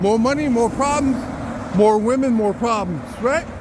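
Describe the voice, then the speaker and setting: Loud speech at a fairly slow pace comes through over noticeable background noise. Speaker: citizen journalist. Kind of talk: walking vlog monologue.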